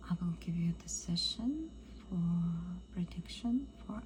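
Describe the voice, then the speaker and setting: Amid noticeable background noise, a woman talks very slowly. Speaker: ASMR practitioner and Vedic astrologer. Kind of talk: ASMR astrology session. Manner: soft-spoken, calming.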